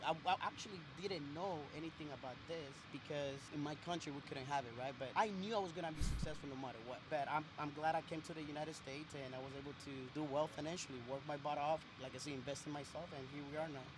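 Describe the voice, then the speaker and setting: Speaking at a very fast pace over noticeable background noise, a man with a Spanish accent has a fairly high pitch and fairly even intonation. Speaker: business owner. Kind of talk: street interview.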